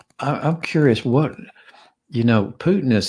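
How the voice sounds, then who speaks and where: Using an unremarkable speaking voice, a man talks at a fairly slow pace with lively intonation. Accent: American. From Georgia, US South. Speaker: close encounter witness and classical guitarist. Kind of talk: interview about personal experiences. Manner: gentle, calm.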